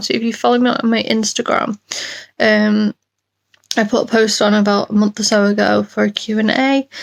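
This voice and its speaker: A woman with a British accent speaks at a moderate pace, the sound dry and close with no echo. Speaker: chronic illness vlogger. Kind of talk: casual vlog update. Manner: hesitant, many ums.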